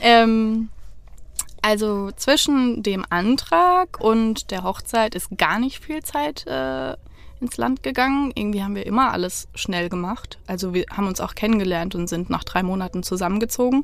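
A woman speaks in an ordinary speaking voice at a fairly slow pace, her fairly high pitch rising and falling with lively intonation. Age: 30s. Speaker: divorced interviewee. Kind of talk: casual chat. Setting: inside a parked camper van.

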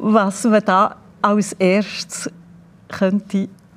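A woman talks in a monotone with flat intonation. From Switzerland, Bern region. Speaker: former cellist and music school director. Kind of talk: interview.

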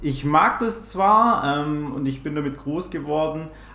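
Delivered at a very slow pace with ordinary pitch variation and a slight Swabian accent, the speech carries audible room echo and noticeable background noise. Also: man. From Swabia, Germany. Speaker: trader and volunteer firefighter. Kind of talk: interview answers. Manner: trying to speak standard German.

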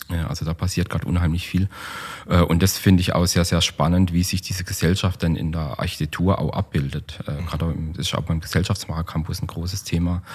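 A man's very deep, low voice moves fairly quickly in fairly even intonation, with noticeable background noise behind it. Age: 40s. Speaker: architect and urban planner. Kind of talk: casual interview. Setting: meeting room. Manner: hesitant, many fillers.

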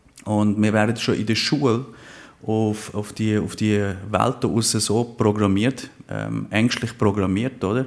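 Very slowly and in a monotone, flat intonation, a man speaks at a fairly low pitch. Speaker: life coach. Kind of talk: interview. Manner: playful.

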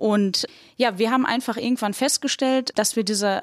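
This is a normal speaking voice from a woman, fairly high in pitch with ordinary pitch variation, at a moderate pace. The recording is very clean, with a silent background. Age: 20s. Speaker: bank innovation manager. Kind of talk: casual discussion. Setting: podcast studio.

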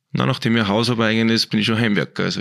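His voice sits at a medium pitch. The man's intonation is fairly even, and the sound is dry and close without any echo. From Austria, Innviertel (Upper Austria). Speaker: sports physiotherapist. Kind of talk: casual interview.

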